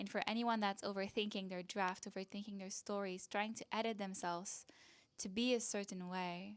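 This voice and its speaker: With a Quebec accent, a woman speaks at medium pitch with fairly even intonation on a very clean recording with a silent background. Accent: French Canadian accent in English. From Canada, French-speaking. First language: French. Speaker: online business coach and content creator. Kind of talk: casual talk to camera.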